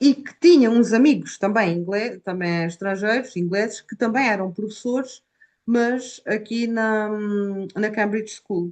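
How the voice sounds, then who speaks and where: A woman's fairly high voice in an Algarve accent, at a fairly slow pace with ordinary pitch variation. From Portugal, Algarve. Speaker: Portuguese language teacher. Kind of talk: interview. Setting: video call.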